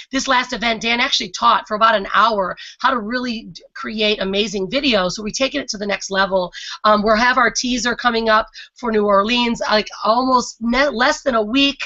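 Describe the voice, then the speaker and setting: Fairly high female pitch with ordinary variation. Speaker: online business coach and webinar host. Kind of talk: live webinar presentation. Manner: fast; intense, energetic.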